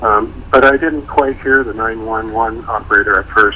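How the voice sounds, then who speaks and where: The intonation is fairly even, and there is noticeable background noise. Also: man. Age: 60s. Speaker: retired photographer, interviewee. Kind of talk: radio interview.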